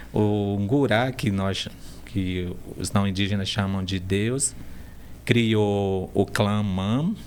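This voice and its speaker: Pausing long and often at a very slow pace, a man talks with a fairly low pitch and ordinary pitch variation, and the room echo is audible. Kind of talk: interview conversation.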